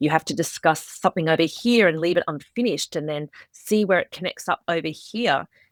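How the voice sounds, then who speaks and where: A woman talks with an Australian accent and lively intonation. The sound is dry and close, with no echo. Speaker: author. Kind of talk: interview.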